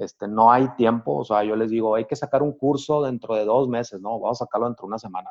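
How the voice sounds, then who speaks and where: A man with a medium-pitched voice talks very fast, with ordinary pitch variation and hardly any pauses. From Sonora, northern Mexico. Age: 50s. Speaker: architect and business owner. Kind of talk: interview. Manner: halting, frequent fillers.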